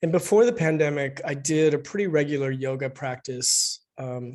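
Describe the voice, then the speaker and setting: An ordinary speaking voice from a man, fairly high in pitch, at a fairly slow pace. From US Northwest (Spokane, Washington). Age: 60s. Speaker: author. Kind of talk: book event interview.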